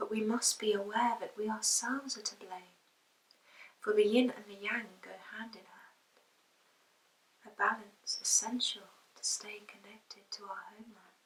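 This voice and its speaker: In a somewhat breathy voice with fairly high pitch, a woman talks at a moderate pace in a monotone, flat intonation, with long, frequent pauses and big swings in loudness. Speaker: poet. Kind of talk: spoken word poetry reading.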